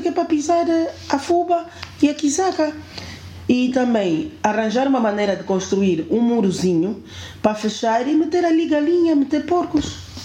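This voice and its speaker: Noticeable background noise and audible room echo surround the voice. Its pitch swings very widely. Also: woman. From Angola, Kwanza Sul and Luanda. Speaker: building manager. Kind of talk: casual chat. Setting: at home.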